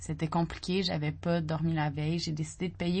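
A somewhat breathy woman's voice, fairly low in pitch, at a moderate pace with fairly even intonation. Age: 30s. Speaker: newsletter writer. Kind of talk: reading aloud.

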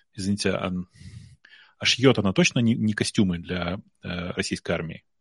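In a dry, close sound with no echo, a man speaks at a fairly low pitch and moderate pace with ordinary pitch variation. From Russia. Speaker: tech entrepreneur. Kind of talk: casual chat. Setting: live stream.

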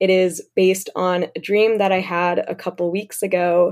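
In a very clean recording with a silent background, a woman with an American accent speaks at a medium pitch. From US Midwest. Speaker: writer and podcast co-producer. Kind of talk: casual interview conversation.

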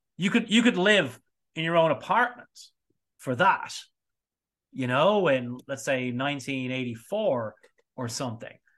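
A man with an Irish accent and a fairly high pitch, very wide pitch swings and long, frequent pauses. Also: fairly slow pace. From Ireland, small seaside town north of Dublin. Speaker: spirits educator and distiller. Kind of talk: casual interview chat. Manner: animated.

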